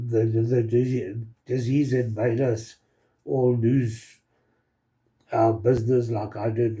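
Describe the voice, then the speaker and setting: A man's medium-pitched, somewhat breathy voice has a dark, mellow tone and monotone, flat intonation. He talks at a fairly slow pace, with audible room echo around him. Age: 60s. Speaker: product promoter, channel owner. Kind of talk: promotional testimonial video. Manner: halting, many fillers.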